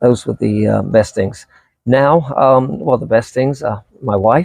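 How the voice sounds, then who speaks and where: Someone with an American accent speaks at a fairly slow pace with lively intonation. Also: man, medium pitch for a man. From England. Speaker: vlogger. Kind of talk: casual interview.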